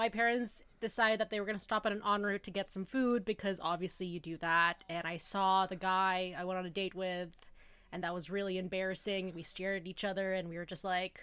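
In a very clean recording with a silent background, a woman speaks in a Canadian accent. Her bright, sharp voice sits at a medium pitch, with fairly even intonation and a fairly quick pace. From Canada, Toronto. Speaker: podcast host. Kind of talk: casual chat.

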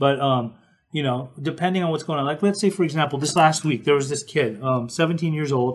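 With a somewhat breathy, fairly high pitch, a man speaks at a moderate pace and ordinary pitch variation. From Utah, Salt Lake City. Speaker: podcast host, interventionist. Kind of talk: casual chat. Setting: live stream.

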